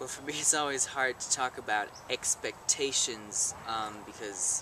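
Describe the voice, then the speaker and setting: Fairly even intonation from a male speaker, with noticeable noise in the background. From Germany. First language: German. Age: young. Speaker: live-in volunteer. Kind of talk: interview.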